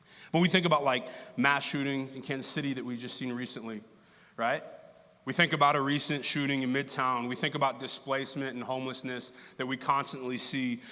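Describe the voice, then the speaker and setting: With audible room echo, a man speaks at a fairly quick pace in a medium pitch, his tone bright and sharp and his intonation monotone and flat. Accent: American. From Texas. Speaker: lay preacher. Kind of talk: sermon. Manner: casual, conversational.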